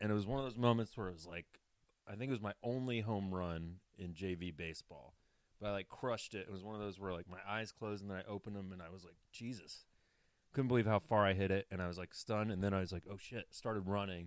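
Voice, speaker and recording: Talking very fast in an American accent, a man with a fairly low voice shows ordinary pitch variation and big swings in loudness on a very clean recording with a silent background. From US South, Atlanta, Georgia. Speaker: sports podcast co-host. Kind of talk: casual chat.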